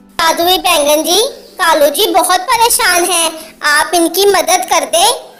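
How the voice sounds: A female-sounding, cartoonish character voice with an extremely high pitch. It moves at a fairly slow pace.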